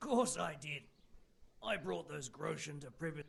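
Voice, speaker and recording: Someone does a raspy, put-on character voice at a moderate pace. The pitch swings very widely. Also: man, fairly high pitch for a man. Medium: video game. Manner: blunt, weary, matter-of-fact.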